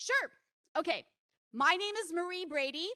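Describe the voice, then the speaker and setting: A woman projects a raised voice with a bright, sharp tone. She speaks at a moderate pace. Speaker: project manager at a public meeting. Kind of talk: public meeting presentation. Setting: public meeting hall with microphone, also streamed online. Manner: loud, projecting.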